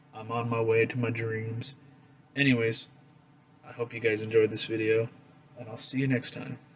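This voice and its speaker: Monotone and flat, a medium-pitched man speaks at a moderate pace with long, frequent pauses. His loudness swings widely, and there is noticeable background noise. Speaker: flint knapping hobbyist, video creator. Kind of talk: casual tutorial / show-and-tell. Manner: casual, hesitant with many fillers. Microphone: recorded on a phone.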